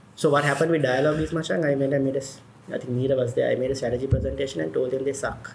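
A man speaks at a very fast pace. Audible room echo and noticeable background noise fill the recording. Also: medium pitch for a man, ordinary pitch variation. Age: 40s. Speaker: entrepreneur, former advertising executive. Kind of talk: casual interview chat.

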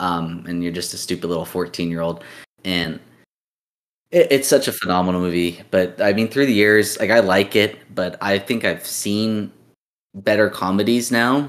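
On a very clean recording with a silent background, a man speaks in an ordinary speaking voice, fairly low in pitch with ordinary pitch variation. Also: moderate pace. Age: 20s. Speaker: podcast co-host. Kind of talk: casual chat.

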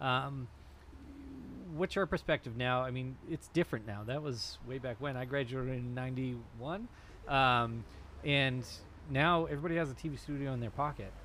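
A man's medium-pitched voice in an American accent, moderate pace, ordinary pitch variation, long and frequent pauses. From Massachusetts, Danvers. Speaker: community media station director. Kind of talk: casual chat. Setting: outdoors.

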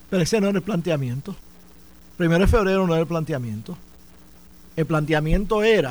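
A man talks in a high voice, captured on a very clean recording with a silent background. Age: 60s. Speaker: former Senate president and politician. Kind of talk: radio studio debate. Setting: radio studio.

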